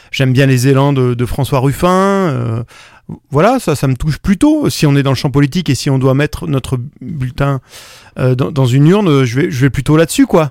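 In a dry, close sound with no echo, a man talks at a fairly high pitch and moderate pace with ordinary pitch variation. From France, Drôme (Valence). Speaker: singer-songwriter. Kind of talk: interview. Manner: halting, many repetitions and hesitations.

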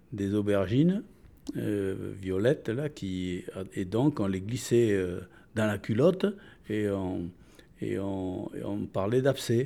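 A man's fairly low, dark, mellow voice, very slow with long, frequent pauses and ordinary pitch variation, on a very clean recording with a silent background. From France. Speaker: retiree. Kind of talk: interview. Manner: halting.

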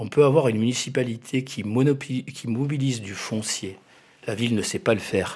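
A man's medium-pitched, unremarkable speaking voice at a moderate pace, with ordinary pitch variation. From Spanish roots. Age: 50s. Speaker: law professor and municipal candidate. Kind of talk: radio interview. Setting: studio.

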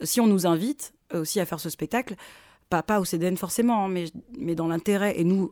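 Very fast speech from a woman, medium in pitch, with ordinary pitch variation. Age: 30s. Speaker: theatre director. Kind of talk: interview.

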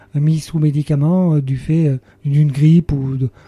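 Somewhat breathy and fairly high-pitched, a man talks at a very slow pace with fairly even intonation. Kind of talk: radio interview testimony. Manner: halting, many hesitations.

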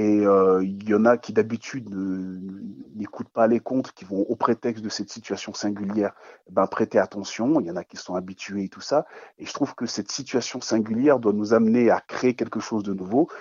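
This man's voice sits fairly low, with fairly even intonation at a moderate pace. His loudness swings widely. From Ghana. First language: not French (speaking French). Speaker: storyteller. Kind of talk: radio interview.

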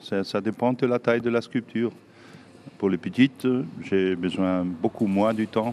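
A man speaks with a German accent. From southern Germany. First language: German (speaking French). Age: 60s. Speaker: sculptor. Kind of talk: interview. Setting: workshop. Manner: halting.

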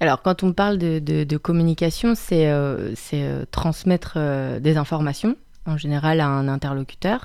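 On a very clean recording with a silent background, a woman with a very deep, low pitch and dark, mellow tone speaks at a fairly slow pace with ordinary pitch variation. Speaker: speech therapist. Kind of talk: casual chat.

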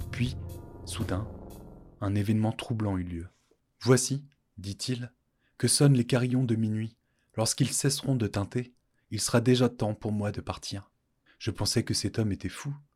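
With a warm, dramatic, somewhat breathy tone, a man talks at a fairly slow pace and medium pitch, his intonation fairly even and broken by long, frequent pauses. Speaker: podcast storyteller. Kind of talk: scripted narration of a folk tale. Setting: studio. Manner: formal, literary, with dramatic pauses.

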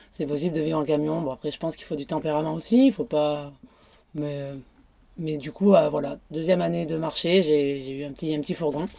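Very deep and low for a woman, her voice has a dark, mellow tone and fairly even intonation. She talks fairly quickly, with big swings in loudness. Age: 30s. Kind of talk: casual interview. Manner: hesitant.

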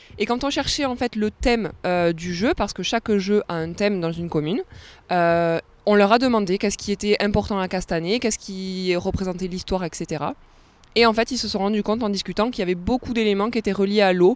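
A woman with a normal speaking voice talks at medium pitch and a fairly quick pace with ordinary pitch variation, her sound dry and close with no echo on a very clean recording with a silent background. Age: 20s. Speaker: tourism officer. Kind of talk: radio interview. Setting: outdoors by a canal lock.

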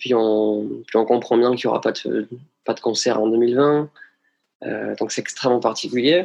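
Speaking at a moderate pace, a man of medium pitch keeps his intonation fairly even. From southwestern France (Hautes-Pyrénées). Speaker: singer. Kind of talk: interview. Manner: hesitant, many fillers.

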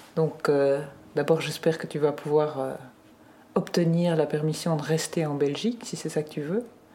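A woman speaks in a very deep, low voice. Her pace is fairly slow. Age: 50s. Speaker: guardian of a minor. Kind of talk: recorded conversation.

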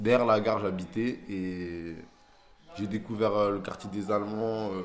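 A man talks amid noticeable background noise, and the room echoes audibly around him. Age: 20s. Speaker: rapper. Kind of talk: casual street interview. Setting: outdoors in the street.

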